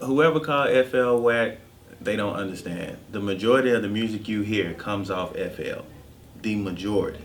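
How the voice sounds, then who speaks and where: A man with a fairly low pitch at a moderate pace, with ordinary pitch variation and audible room echo. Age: 30s. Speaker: music producer. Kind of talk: casual interview chat.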